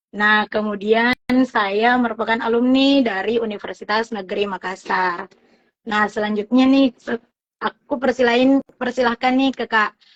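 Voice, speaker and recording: An unremarkable speaking voice from a woman, fairly high in pitch, at a moderate pace with fairly even intonation. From South Sulawesi, Bone. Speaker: live show host. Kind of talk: casual interview. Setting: Instagram live stream.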